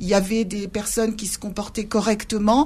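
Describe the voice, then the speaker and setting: A woman speaks in a somewhat breathy voice. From Algeria, Sidi Bel Abbès (pied-noir, Spanish-descended family). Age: 60s. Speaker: retired civil servant and memory-reconciliation activist. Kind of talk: radio interview.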